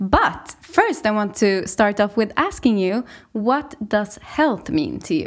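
In a Swedish accent, a woman speaks at a fairly slow pace. Her fairly high voice has lively intonation. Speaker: podcast host. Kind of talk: interview.

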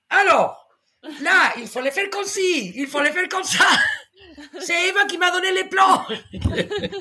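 A woman's raised, projected voice, extremely high in pitch and bright and sharp in tone, at a very slow pace. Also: ordinary pitch variation. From Spain. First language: Spanish (speaking French). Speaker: podcast guest. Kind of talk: casual chat. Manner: halting.

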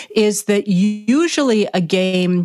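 Noticeable background noise surrounds a woman speaking at a medium pitch with ordinary pitch variation. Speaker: historian. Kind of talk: interview conversation.

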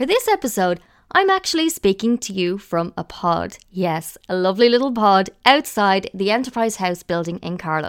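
In an Irish accent, a woman speaks at a medium pitch and a fairly quick pace, with a dry, close sound and no echo. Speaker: podcast host. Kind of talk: scripted narration. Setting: recording pod outside an office building.

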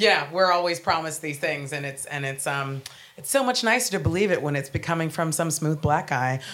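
A woman with an American accent speaks at a fairly quick pace with a very deep, low pitch and lively intonation. Audible room echo is present. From United States. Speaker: comedian. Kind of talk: panel discussion before live audience. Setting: stage with audience.

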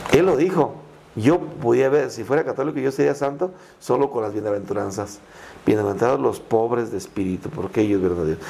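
A man's medium-pitched voice with a dark, mellow tone, very wide pitch swings and a fairly quick pace. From Mexico, Michoacán (Purépecha town near Tancítaro). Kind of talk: interview conversation.

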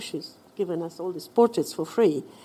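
A woman speaks at a moderate pace with a Romanian accent. Her medium-pitched voice has a dark, mellow tone. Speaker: visual artist and writer. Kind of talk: personal storytelling. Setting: stage with audience.

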